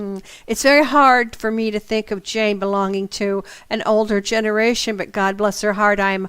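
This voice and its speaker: With a plain, everyday voice, a woman speaks at a medium pitch and a moderate pace, her intonation fairly even. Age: 60s. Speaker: internet radio host and psychic teacher. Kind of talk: radio talk, storytelling with asides. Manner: conversational with fillers.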